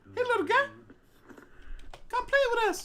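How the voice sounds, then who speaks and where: Extremely high pitch in a put-on character voice, moderate in pace. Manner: creepy, coaxing.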